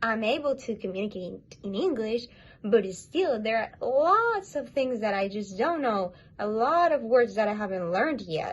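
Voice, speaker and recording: With a Spanish accent, a woman speaks at a moderate pace in a fairly high voice with lively intonation over noticeable background noise. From Latin America. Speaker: interviewee, creator's girlfriend. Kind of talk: casual interview chat.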